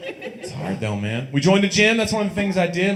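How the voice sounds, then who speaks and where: There is noticeable background noise and audible room echo. A man speaks with a Tennessee accent. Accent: Southern US (Tennessee). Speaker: stand-up comedian. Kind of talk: stand-up. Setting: stage with audience.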